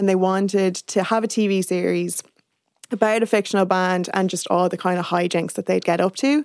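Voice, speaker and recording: At a fairly quick tempo and with fairly level intonation, an ordinary speaking voice comes through. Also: woman, medium pitch for a woman. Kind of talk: casual chat.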